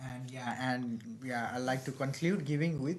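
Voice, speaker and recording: A man speaks at a medium pitch with a somewhat breathy quality. Some room echo can be heard. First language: not English. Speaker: student podcast co-host. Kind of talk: casual chat. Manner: halting.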